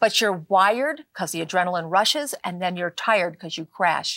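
In a very clean recording with a silent background and a dry, close sound with no echo, a woman with an unremarkable speaking voice and medium pitch talks at a moderate pace with lively intonation. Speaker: natural medicine author. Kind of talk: talk show interview.

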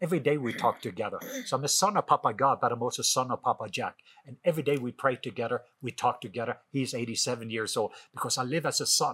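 Speaking very fast in a Norwegian accent, a man has a bright, sharp tone at a medium pitch, with ordinary pitch variation. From Norway. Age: 50s. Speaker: author and minister.

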